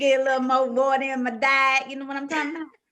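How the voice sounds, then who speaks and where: This is a woman with a Southern US accent. Her pitch is high. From US South. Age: 40s. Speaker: podcast co-host. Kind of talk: casual chat.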